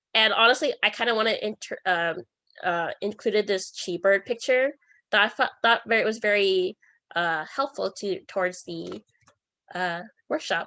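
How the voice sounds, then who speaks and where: Over a quiet background, a woman talks at a medium pitch with ordinary pitch variation. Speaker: student club workshop host. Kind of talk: online workshop presentation. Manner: fast; halting, many fillers and restarts.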